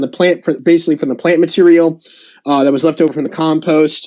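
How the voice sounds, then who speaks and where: Here a man speaks with a fairly high pitch. His pace is fairly quick. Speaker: soil ecology presenter. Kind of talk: slide presentation. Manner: fast; filler-heavy, halting.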